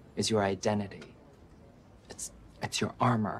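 A man speaks at a moderate pace while light background noise carries on. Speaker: actor. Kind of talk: TV drama scene. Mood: earnest, encouraging. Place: office.

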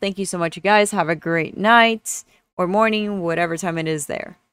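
An ordinary speaking voice moves at a moderate pace with ordinary pitch variation. The recording is very clean and silent in the background, with a dry, close sound and no echo. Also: woman. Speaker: streamer and gaming YouTuber. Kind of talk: tutorial. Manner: casual, rambling with many filler words.

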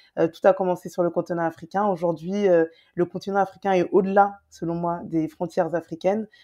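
Against a quiet background, a woman talks at a fairly quick pace with a dark, mellow tone and monotone, flat intonation. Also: fairly low pitch for a woman. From Paris, France (Guadeloupean family). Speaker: travel content creator. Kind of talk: casual interview chat. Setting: remote call. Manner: hesitant, many fillers.

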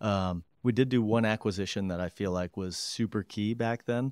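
Against a quiet background, a man speaks with an Upper Midwest accent. His intonation is fairly even, and the sound is dry with no echo. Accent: Upper Midwest American. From Michigan, Grand Rapids; Michigan. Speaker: company president; guest. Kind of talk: interview. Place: office. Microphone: studio mic.

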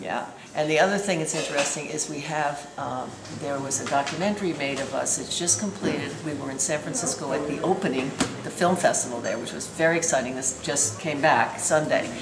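A woman's speech moves at a fairly quick pace with ordinary pitch variation, amid noticeable background noise. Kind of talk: interview answer. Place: cafe. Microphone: phone near.

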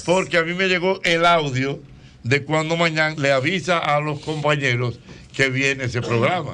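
A man with a bright, sharp tone talks at a fairly high pitch and moderate pace, using ordinary pitch variation. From Dominican Republic. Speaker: radio show host. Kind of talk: radio talk show banter. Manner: casual, conversational. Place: studio. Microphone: studio mic.

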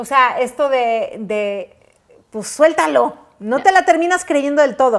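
Against a quiet background, a woman talks at a very slow pace in a high-pitched voice, with lively intonation and big swings in loudness. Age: 30s. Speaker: talk show host. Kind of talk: casual chat. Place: home room. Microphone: lapel.

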